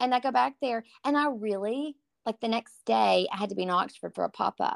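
Speaking at a moderate pace in a Southern US accent, a woman is captured with a dry, close sound, no echo, and a very clean recording with a silent background. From East Texas, Tyler. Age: 40s. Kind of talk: casual chat.

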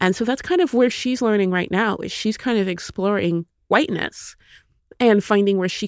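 In a normal speaking voice, a woman with an American accent talks at a medium pitch and fairly quick pace with ordinary pitch variation, on a very clean recording with a silent background. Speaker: author. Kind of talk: interview.

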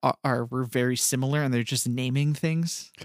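A man's voice comes through dry and close, free of echo, on a very clean recording with a silent background. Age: 30s. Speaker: podcast co-host. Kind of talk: casual chat.

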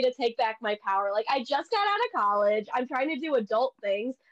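With lively intonation, a woman speaks at a high pitch and a moderate pace in a dry, close sound with no echo. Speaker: podcast host. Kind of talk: casual chat.

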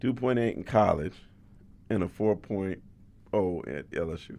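Fairly slow and with long, frequent pauses, a man with a fairly low pitch and a dark, mellow tone speaks with ordinary pitch variation and big swings in loudness. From California, San Jose. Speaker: sports journalist. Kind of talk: interview.

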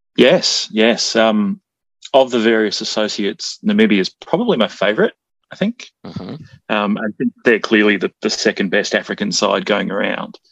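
The voice comes with an Australian accent at a moderate pace, in a dry, close sound with no echo. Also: man. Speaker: musician and jingle maker. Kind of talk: casual chat.

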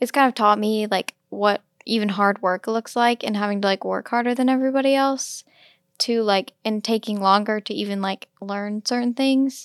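The speaker is a woman with a normal speaking voice, a fairly high pitch and fairly even intonation. She keeps a moderate pace, and the sound is dry and close with no echo. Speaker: podcast host. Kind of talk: casual chat.

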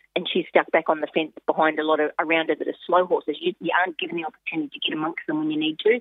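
She has an Australian accent. This woman's pitch is fairly low. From Australia, Queensland. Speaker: harness racing driver and trainer. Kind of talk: phone interview.

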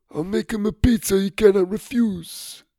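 At a moderate pace, a raspy put-on character voice sits at a middle pitch.

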